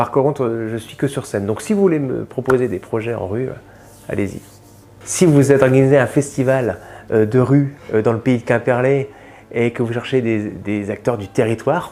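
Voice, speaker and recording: A man speaks at a moderate pace in a medium pitch, with a dark, mellow tone. His pitch varies in an ordinary way. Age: 40s. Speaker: comedian. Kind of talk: interview portrait. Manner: hesitant, many fillers.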